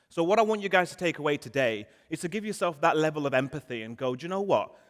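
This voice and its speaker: Talking at a very fast pace, a man with a northern English accent sounds animated. His fairly high pitch carries lively intonation. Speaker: marketing conference speaker. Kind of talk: conference talk. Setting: stage with audience.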